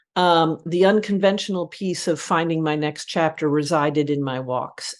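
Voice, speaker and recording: At a moderate pace, a woman with an unremarkable speaking voice uses lively intonation against a quiet background. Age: 60s. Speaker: advertising creative director and author. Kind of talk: podcast interview. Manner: reflective, with frequent fillers.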